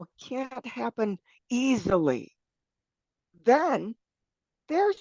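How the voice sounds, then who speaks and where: A woman at a fairly high pitch with very wide pitch swings, very slow with long, frequent pauses, in a dry, close sound with no echo. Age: 70s. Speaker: legal brothel owner. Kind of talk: interview answer.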